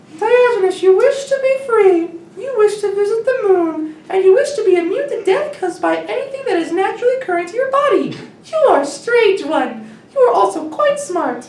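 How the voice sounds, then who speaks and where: In a put-on character voice that is squeaky, soft-spoken and extremely high in pitch, the speaker moves at a fairly quick pace, with slight echo around the sound. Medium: read story. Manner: smooth, butler-like, condescending.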